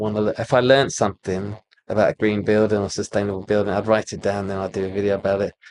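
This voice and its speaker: Heard in a dry, close sound with no echo, the speaker talks with a British accent in a monotone, flat intonation. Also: man. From UK. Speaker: architect. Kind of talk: casual interview chat. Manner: halting.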